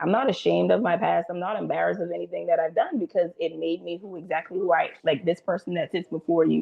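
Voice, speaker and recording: A woman talks at a very fast pace with hardly any pauses, over noticeable background noise. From US South, James Island, South Carolina. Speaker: local political candidate. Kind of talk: interview. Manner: talkative.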